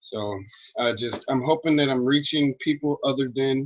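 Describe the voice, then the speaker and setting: Mumbling at a fairly slow pace, the speaker uses ordinary pitch variation. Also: man. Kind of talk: casual monologue on religion.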